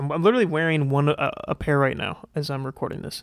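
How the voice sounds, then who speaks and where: Speaking fairly quickly with fairly even intonation, a man with an American accent uses a fairly high pitch. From US Midwest. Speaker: podcast host. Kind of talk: casual solo commentary. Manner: casual, filler-heavy.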